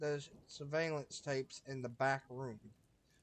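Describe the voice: The text is read aloud plainly, with fairly even intonation.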